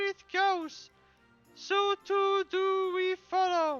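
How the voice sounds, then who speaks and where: Over faint background music, a put-on, squeaky character voice plays at an extremely high pitch in a playful tone. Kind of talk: archaic fantasy speech. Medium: game stream. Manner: playful and grandiose.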